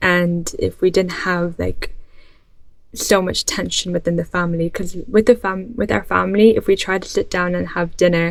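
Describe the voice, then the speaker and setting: A woman with a slight Irish accent at a moderate pace. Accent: light Irish. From born in Ireland, moved to UK about ten years ago as a child. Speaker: vlogger. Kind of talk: casual vlog monologue. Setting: bedroom.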